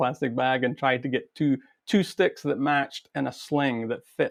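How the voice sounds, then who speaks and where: Speaking with fairly even intonation at a moderate pace, this man has a fairly high voice. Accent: Scottish. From Scotland, Perth. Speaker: pipe band drummer and teacher. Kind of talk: casual interview.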